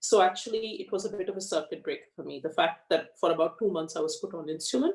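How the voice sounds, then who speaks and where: A woman speaking at a very fast pace with big swings in loudness. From Australia (born in India, moved at ten). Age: 40s. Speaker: lawyer and patient sharing health story. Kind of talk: interview testimony.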